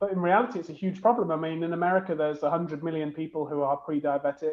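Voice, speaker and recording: A man talks at a very fast pace in a British accent. His pitch is fairly high, with ordinary pitch variation. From UK. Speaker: beverage company co-founder and CEO. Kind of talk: interview.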